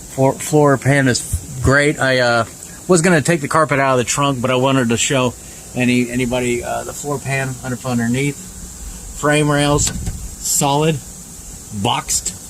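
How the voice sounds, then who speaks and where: A man talks at a moderate pace, leaving long, frequent pauses. Noticeable background noise sits behind him. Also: medium pitch for a man, fairly even intonation. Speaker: car reviewer. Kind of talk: walkaround car review. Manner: casual, hesitant with many fillers.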